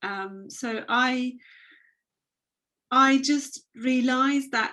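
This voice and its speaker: Bright and sharp in tone, a woman speaks with a Turkish accent and fairly even intonation. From Turkey. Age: 30s. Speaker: abuse survivor and fashion business owner. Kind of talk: testimony. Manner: halting.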